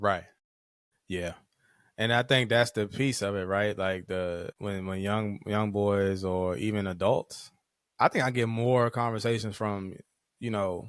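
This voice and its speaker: The man has a slight country accent, fairly low pitch and fairly even intonation. He leaves long, frequent pauses in a very clean recording with a silent background. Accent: slight country twang. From Virginia, Caroline County. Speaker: social work professor and clinician. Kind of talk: podcast interview. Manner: fast; slightly slurred words.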